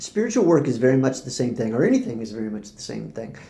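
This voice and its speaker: A man's dark, mellow voice carries vocal fry, with audible room echo around it. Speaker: spiritual teacher vlogger. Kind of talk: casual monologue to camera. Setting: recording to camera. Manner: fast when excited; hesitant, many fillers and repeats.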